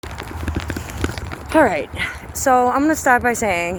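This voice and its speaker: Woman's voice with audible room echo and noticeable background noise. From eastern Massachusetts (South Shore, Hanover). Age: 30s. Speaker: vlogger, former addict. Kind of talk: personal testimony to camera. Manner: casual, halting with fillers.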